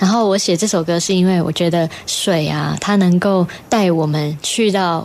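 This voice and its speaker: A woman with a fairly low pitch speaks at a moderate pace with hardly any pauses and very even loudness. Noticeable background noise is present. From Taiwan, Puli, Nantou. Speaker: singer and electronic musician. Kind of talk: interview, casual chat. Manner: animated.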